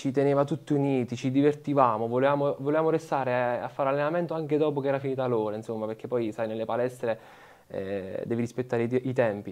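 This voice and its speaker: Speaking at a very fast pace, a man keeps his intonation fairly even. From Italy, Molise (Campobasso); Molise. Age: 20s. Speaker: professional footballer; interviewee. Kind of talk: interview. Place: studio.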